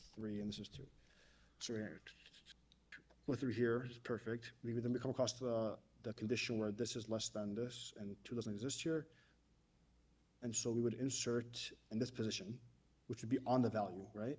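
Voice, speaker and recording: Long, frequent pauses break up a man's speech. His pitch is medium and his intonation fairly even. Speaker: mock interview candidate. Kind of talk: technical mock interview. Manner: fast; halting, many fillers and restarts.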